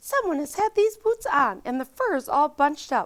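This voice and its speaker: A woman puts on a high-pitched character voice and speaks at a moderate pace. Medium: read story.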